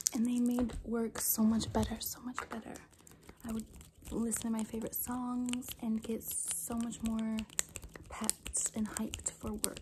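Soft-spoken and at a fairly slow pace, a woman talks over noticeable background noise. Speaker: ASMR creator. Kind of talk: ASMR soft-spoken talk to camera. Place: home room. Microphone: phone near.

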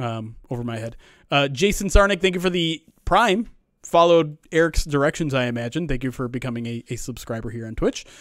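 Heard in a dry sound with no echo, a man talks at a fairly quick pace. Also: quiet background. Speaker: producer and podcast host; podcast host. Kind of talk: casual chat. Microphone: studio mic.

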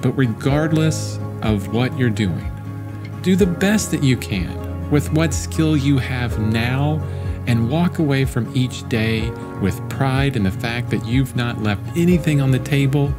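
Over clear music in the background, a man talks at a very slow pace. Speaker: artist and content creator. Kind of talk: casual talk to camera, motivational. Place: home room. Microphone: studio mic.

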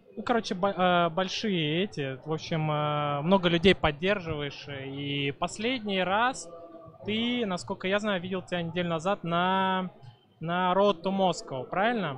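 Light background noise sits under a man speaking fairly slowly with a high pitch and ordinary pitch variation, the sound dry with no echo. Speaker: stream host interviewer. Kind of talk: casual interview chat. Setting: live stream at event. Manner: casual. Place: hall. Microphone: handheld.

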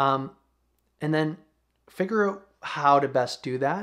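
A man speaks in a relaxed tone with ordinary pitch variation. The background is quiet. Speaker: YouTuber. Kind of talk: casual monologue to camera, vlog style. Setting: home video recording, single camera. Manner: relaxed, conversational. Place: home room.

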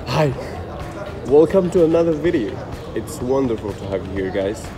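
A man is talking at a moderate pace. Clear music plays in the background. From Morocco. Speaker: polyglot street interviewer. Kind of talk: video intro to camera. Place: street. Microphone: phone near.

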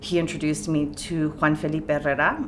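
Amid noticeable background noise, a woman with a very deep, low pitch speaks at a moderate pace in a monotone, flat intonation. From California. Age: 40s. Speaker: poet and professor; poet, professor. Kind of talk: oral history interview. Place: studio.

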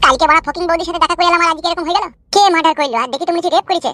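In a cartoonish character voice, someone rattles along at a very fast pace with fairly even intonation, the sound dry and close with no echo. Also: woman, extremely high pitch for a woman. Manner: nervous.

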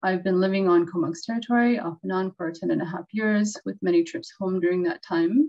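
A woman at a fairly quick pace with hardly any pauses and ordinary pitch variation, over a quiet background. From Western Arctic Canada. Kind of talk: webinar presentation. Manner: formal. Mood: calm, earnest. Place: home room. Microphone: webcam.

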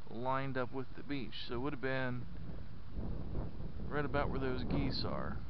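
A man's flat, monotone delivery at a fairly slow pace, with noticeable background noise. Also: dry sound with no echo. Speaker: parent hiking vlogger. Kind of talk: casual vlog chat. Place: beach. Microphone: helmet.

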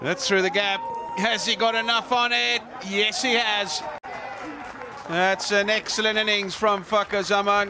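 A man with a high pitch speaks in a raised, projected voice at a fairly slow pace, with ordinary pitch variation. Long, frequent pauses break it up over noticeable background noise. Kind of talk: live cricket commentary. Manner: rising, celebratory tone at milestones.

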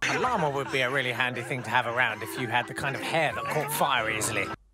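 Very fast speech from a man at medium pitch, fairly even intonation, noticeable background noise behind. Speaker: comedy writer and voice artist. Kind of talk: comedy voiceover commentary on clips. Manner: dry, sardonic.

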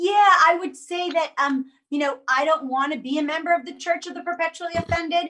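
A woman speaks in a raised, projected voice at an extremely high pitch, bright and sharp in tone, at a fairly quick pace. Her intonation stays fairly even while her loudness swings widely, over a quiet background. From Jamaica. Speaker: actress and political candidate; actress, candidate. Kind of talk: casual political discussion. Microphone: video call.

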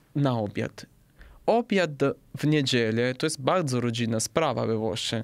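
With an Italian accent, a man speaks at a fairly slow pace over a quiet background. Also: ordinary pitch variation. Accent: Italian accent in Polish. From southern Italy. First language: Italian (speaking Polish). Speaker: podcast guest, Italian living in Poland; podcast guest. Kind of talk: casual interview. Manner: halting, with many fillers. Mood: relaxed, friendly. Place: studio. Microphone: studio mic.

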